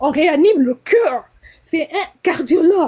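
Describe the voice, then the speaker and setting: A woman speaks fairly slowly. Her pitch swings very widely. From DR Congo. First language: Lingala or English (speaking French). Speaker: nurse, live stream caller. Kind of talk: live stream call-in. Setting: TikTok live. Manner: halting, hesitant.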